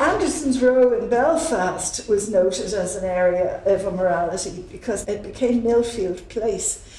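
Audible room echo follows a woman who talks at a fairly slow pace. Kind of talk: lecture. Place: hall.

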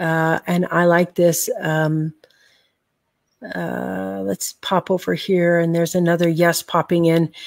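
At a very slow pace, a woman speaks with fairly even intonation and a fairly low pitch. The sound is dry with no echo, over a quiet background. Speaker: public speaker and business coach; online show host. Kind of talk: casual chat with a sales pitch. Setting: video call live stream. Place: home room. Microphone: webcam.

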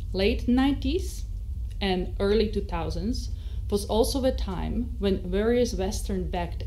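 There is light background noise behind this recording. A woman speaks at a fairly slow pace. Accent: Slovak. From Slovakia. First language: Slovak. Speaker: invited speaker. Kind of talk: seminar speech. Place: hall. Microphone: podium.

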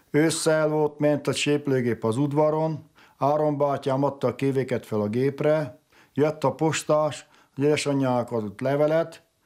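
Against a silent background in a very clean recording, a man with a fairly high pitch and a dark, mellow tone speaks at a fairly slow pace with fairly even intonation. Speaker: relative of the bishop. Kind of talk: documentary interview.

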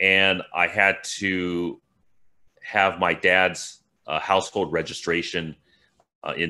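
The pitch is very deep and low. It belongs to a man. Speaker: interview guest. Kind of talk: interview answer. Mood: relaxed, lightly amused. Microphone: video call.

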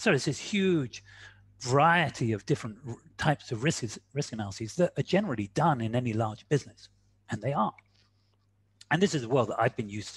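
A man at a fairly quick pace, somewhat breathy, with lively intonation, long and frequent pauses, dry sound with no echo, and a quiet background. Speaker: quantitative risk analyst and speaker. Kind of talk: webinar presentation. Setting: video call. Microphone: video call.

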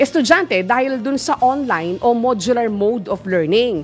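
Music plays faintly in the background. Over it, a woman talks. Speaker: radio news anchor. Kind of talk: news reading and commentary. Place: studio. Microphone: studio mic.

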